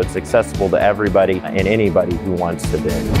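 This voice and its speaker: With clear music in the background, the man delivers his words at a fairly quick pace. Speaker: auctioneer, business owner. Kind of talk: promotional interview talk. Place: hall.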